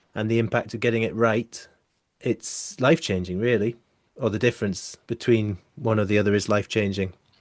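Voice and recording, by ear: At a moderate pace, a man speaks with a fairly low pitch.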